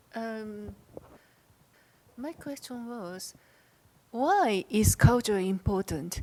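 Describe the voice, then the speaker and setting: A woman speaks at a very slow pace with a Japanese accent. Her pitch is fairly high, and her intonation is lively. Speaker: audience member asking question. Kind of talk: audience question at conference.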